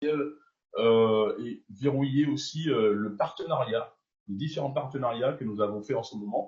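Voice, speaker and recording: Speaking very slowly, a man has a medium pitch, ordinary pitch variation and a somewhat breathy quality. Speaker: network marketing leader. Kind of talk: business announcement. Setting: video call.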